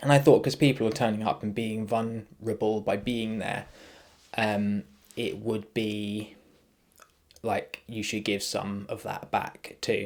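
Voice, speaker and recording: A man speaks in a fairly low voice. His intonation stays monotone and flat. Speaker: jiu-jitsu coach and podcast host. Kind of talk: casual podcast monologue. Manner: hesitant, many fillers.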